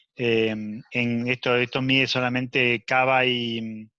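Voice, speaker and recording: Against a quiet background, a man's bright, sharp tone sits at a medium pitch with monotone, flat intonation. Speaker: emergency physician. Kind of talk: lecture. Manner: fast; halting.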